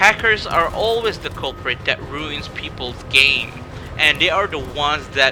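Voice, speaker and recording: Music runs in the background. Over it, a man talks at a moderate pace. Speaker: gaming YouTuber. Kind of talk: casual talk to camera.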